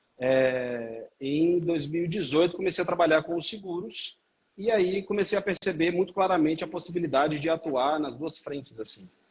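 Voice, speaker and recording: A man talks at a high pitch in a Minas Gerais accent. His pace is moderate, with ordinary pitch variation. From Minas Gerais, Brazil (Belo Horizonte). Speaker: lawyer and life insurance seller. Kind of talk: live stream interview. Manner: halting, many fillers.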